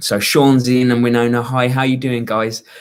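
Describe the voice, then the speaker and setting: A man speaks with a British accent at a medium pitch. His pace is moderate. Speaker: YouTube fitness coach. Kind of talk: live stream Q&A. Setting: hotel room on holiday. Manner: quieter than usual, voice kept down.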